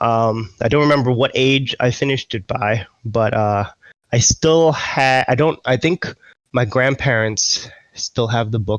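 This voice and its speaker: The speaker has a New York accent and an ordinary amount of pitch variation. The sound is dry and close, with no echo. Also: man, medium pitch for a man, fairly slow pace. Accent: New York American. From US Northeast, Queens, New York. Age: 30s. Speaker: esports team general manager. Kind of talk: interview. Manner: halting.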